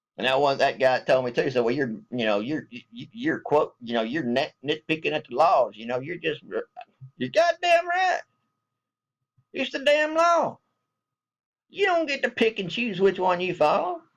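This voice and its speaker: A man speaks at a moderate pace in a Southern US accent. His speech has long, frequent pauses. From US South. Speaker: military veteran vlogger. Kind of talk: casual vlog rant. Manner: animated.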